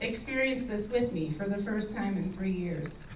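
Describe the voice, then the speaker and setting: A woman talks with fairly even intonation while audible room echo and noticeable background noise fill the recording. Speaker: cancer survivor sharing her story. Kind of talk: speech to event audience.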